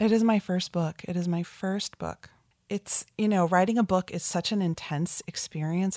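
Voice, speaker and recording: In a very clean recording with a silent background and a dry, close sound with no echo, a woman with an American accent uses a normal speaking voice, talking at a moderate pace with fairly even intonation. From New Jersey, New York metro area. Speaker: author and marketing agency founder. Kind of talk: interview.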